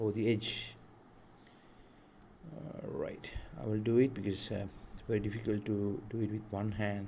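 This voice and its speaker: A man with a non-native accent, a dark, mellow tone and a fairly low pitch. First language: not English. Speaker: DIY tech tutorial creator. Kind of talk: tutorial. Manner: hesitant, many fillers.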